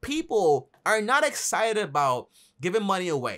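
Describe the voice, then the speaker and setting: A man speaks at a fairly quick pace with a high pitch and very wide pitch swings. The background is quiet. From Dominican Republic. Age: 20s. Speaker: YouTuber on personal finance. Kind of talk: vlog monologue. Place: home room.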